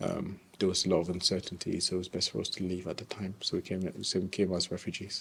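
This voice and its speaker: In a British accent, a man speaks very fast with a very deep, low pitch. His intonation is monotone and flat. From Congo, raised in the UK from age 10. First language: French. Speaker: teacher. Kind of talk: personal testimony interview. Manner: hesitant, many fillers and repeats.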